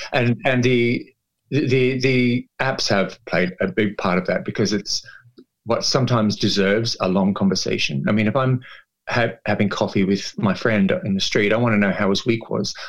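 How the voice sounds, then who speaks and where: A man at medium pitch with ordinary pitch variation, moderate pace and very even loudness, a normal speaking voice. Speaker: activist and drug-support worker. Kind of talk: casual interview chat. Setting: video call.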